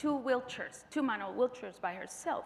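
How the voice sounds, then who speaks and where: A woman speaks with a Spanish accent. Her pitch is high. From Colombia. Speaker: physician. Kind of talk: conference presentation.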